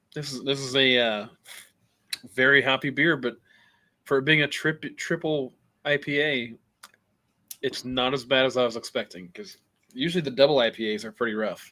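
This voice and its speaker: With long, frequent pauses, a man speaks at a moderate pace and medium pitch, showing ordinary pitch variation and a bright, sharp tone. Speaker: podcast co-host. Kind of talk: casual chat.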